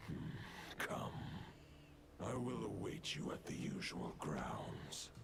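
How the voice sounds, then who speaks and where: Whispering in a put-on character voice with a solemn tone, the speaker goes at a fairly slow pace with long, frequent pauses amid loud background noise. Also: man. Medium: video game. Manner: solemn, archaic.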